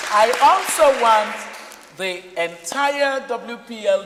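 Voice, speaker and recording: Noticeable background noise sits behind a man whose pitch is extremely high. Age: 60s. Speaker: summit moderator. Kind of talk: closing remarks at a summit. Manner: animated.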